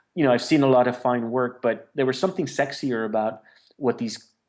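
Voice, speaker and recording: A man's unremarkable speaking voice at medium pitch, with fairly even intonation. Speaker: street artist. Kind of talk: interview answer.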